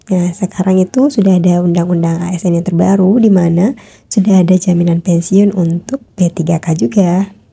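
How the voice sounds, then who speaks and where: This woman talks at a fairly quick pace with hardly any pauses, her medium-pitched voice dark, mellow and somewhat breathy, with ordinary pitch variation. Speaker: YouTuber sharing news for teacher candidates. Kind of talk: reading aloud an article with commentary. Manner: casual with frequent fillers.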